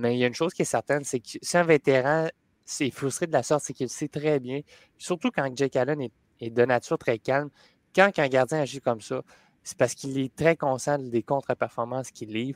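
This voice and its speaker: Recorded with a dry, close sound and no echo, a man has a plain, everyday voice at a medium pitch, talking at a fairly quick pace with fairly even intonation. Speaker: hockey panelist. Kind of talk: casual sports panel chat.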